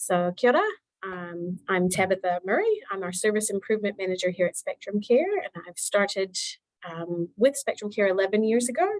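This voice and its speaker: An unremarkable speaking voice: a woman with an American accent at medium pitch. She talks fairly quickly, and the sound is dry and close with no echo. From United States. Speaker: meeting facilitator, service manager. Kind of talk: video meeting introductions.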